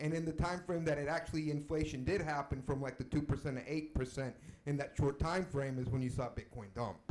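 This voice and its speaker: The pace is fairly quick. This is an unremarkable speaking voice whose pitch variation is ordinary. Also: man. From US Deep South, Mexican family. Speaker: audience member asking a question. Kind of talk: Q&A question.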